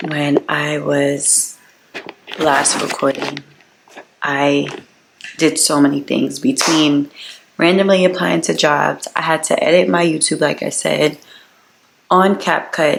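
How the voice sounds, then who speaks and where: A woman's very deep, low voice with ordinary pitch variation, very slow and broken by long, frequent pauses, over noticeable background noise. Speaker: vlogger. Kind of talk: casual vlog talk to camera.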